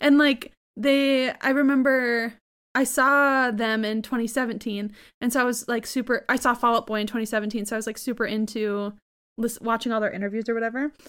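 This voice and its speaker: In an ordinary speaking voice, a woman talks at a moderate pace with fairly high pitch and fairly even intonation, on a very clean recording with a silent background. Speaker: podcast host. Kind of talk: casual chat.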